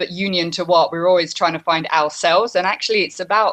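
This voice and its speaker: Speaking in a British accent, a woman has a fairly low pitch. Her intonation is fairly even and her pace fairly quick. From UK. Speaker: yoga teacher. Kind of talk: interview. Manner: hesitant.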